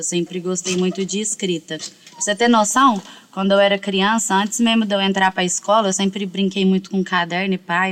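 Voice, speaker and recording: Over noticeable background noise, a woman with medium pitch speaks in a monotone, flat intonation at a moderate pace with hardly any pauses. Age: 20s. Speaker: rapper and songwriter. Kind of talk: casual chat.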